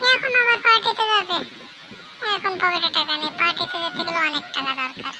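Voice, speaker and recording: A cartoonish character voice at an extremely high pitch moves along at a moderate pace. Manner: grumbling.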